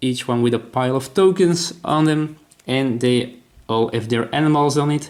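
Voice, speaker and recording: A man at a moderate pace with a Dutch accent. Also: medium pitch for a man, ordinary pitch variation. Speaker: board game designer. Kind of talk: tutorial. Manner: halting.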